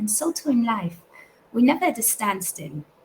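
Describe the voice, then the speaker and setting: A woman with a non-native accent at a fairly quick pace. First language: not English. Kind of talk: recorded talk. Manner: halting.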